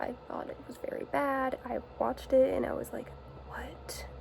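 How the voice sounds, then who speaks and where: Someone soft-spoken talks at a fairly slow pace while noticeable background noise runs underneath. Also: woman. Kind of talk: soft-spoken ASMR-style rambling talk to camera. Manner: soft-spoken, casual.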